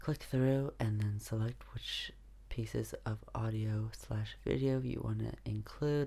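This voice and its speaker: Soft-spoken, a man talks at a fairly slow pace. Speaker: YouTuber. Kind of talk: tutorial. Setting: at home.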